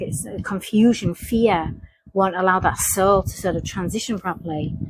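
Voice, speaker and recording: A woman with a Hull accent speaks at a moderate pace and medium pitch, with vocal fry and ordinary pitch variation. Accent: Hull accent, similar to Lancashire. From northern England, Hull. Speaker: psychic investigator. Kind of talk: monologue reflection. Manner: halting, with many restarts.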